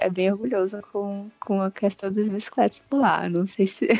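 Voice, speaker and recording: Medium pitch from a woman, backed by music. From Ceará, Brazil. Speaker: podcaster guest. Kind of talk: casual chat. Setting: remote call from Germany.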